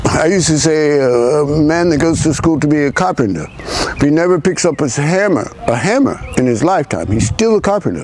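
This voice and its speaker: Lively intonation and a fairly quick pace are heard against noticeable background noise. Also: man, fairly high pitch for a man, very even loudness. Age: 60s. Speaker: army veteran. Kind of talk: conversational interview. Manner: halting.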